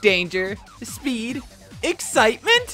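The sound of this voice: A cartoonish character voice, bright and sharp, with very wide pitch swings, a slow pace and faint music in the background.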